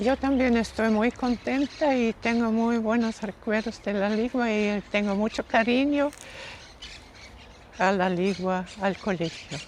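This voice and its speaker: A woman's fairly high voice at a very slow pace, with ordinary pitch variation and very even loudness. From Austria. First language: German (speaking Spanish). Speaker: missionary nun, former teacher. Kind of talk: interview.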